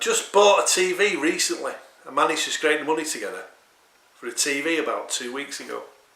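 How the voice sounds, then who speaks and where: Noticeable background noise and audible room echo around a man speaking at a moderate pace. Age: 60s. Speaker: video diarist. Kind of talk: personal video diary monologue. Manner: agitated, profane.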